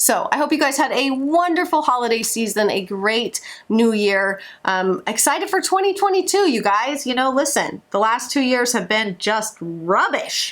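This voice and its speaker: A woman speaks in an animated tone at a high pitch. Her pitch swings very widely while her loudness stays very even. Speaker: vlogger and homeschooling mom. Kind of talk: casual vlog update. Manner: fast.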